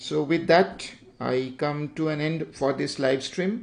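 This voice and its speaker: With an Indian accent, a man speaks slowly-ish at a fairly high pitch, his intonation fairly even. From India, Bengal. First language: Bengali. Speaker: digital art teacher, YouTuber. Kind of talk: livestream drawing tutorial. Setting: YouTube livestream. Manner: halting, many fillers.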